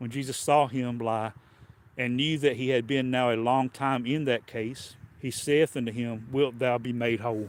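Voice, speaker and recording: The intonation is monotone and flat. The speaker has a Southern US accent. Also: man, medium pitch for a man, moderate pace. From US South. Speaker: preacher. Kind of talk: sermon. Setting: livestream.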